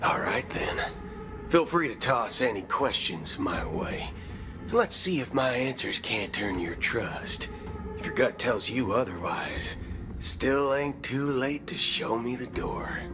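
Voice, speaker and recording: Over loud background noise, a man drawls in a put-on character voice at medium pitch and a fairly slow pace. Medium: video game. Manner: folksy, drawling, swears with substitute words.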